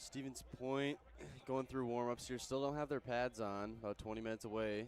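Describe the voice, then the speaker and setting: Music plays in the background as a man speaks at a moderate pace in a medium-pitched, monotone voice with flat intonation. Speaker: sports play-by-play announcer. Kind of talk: pregame commentary. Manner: flat, like reading a book.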